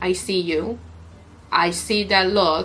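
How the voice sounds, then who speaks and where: Speaking at a very slow pace, a woman uses a medium-pitched voice. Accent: non-native. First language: not English. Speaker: YouTuber and streamer. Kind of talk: unboxing tutorial. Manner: animated.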